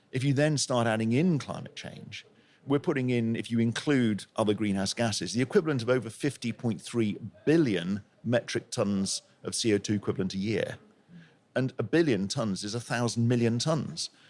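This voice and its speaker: A man with a southern English accent, medium pitch, moderate pace and ordinary pitch variation. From England, Plymouth. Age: 60s. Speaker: intensive care doctor and professor. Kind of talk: podcast interview.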